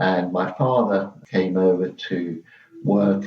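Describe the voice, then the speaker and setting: In a southern English accent, a man with a very deep, low pitch speaks at a very slow pace. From southeast England, Margate, Kent. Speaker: interviewee sharing childhood memories. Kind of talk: oral history interview.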